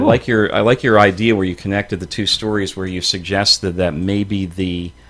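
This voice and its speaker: A man has an unremarkable speaking voice, pitched fairly low. His intonation is fairly even and his pace moderate. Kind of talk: radio talk show guest conversation.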